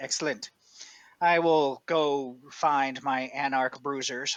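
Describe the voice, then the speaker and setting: Someone does a put-on character voice at a low-to-middle pitch and a fairly slow pace. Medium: actual play. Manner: measured, authoritative.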